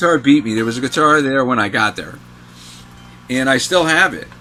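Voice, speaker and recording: A man's voice at a moderate pace with ordinary pitch variation, over noticeable background noise. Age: 60s. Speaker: guitarist and music writer. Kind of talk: casual chat.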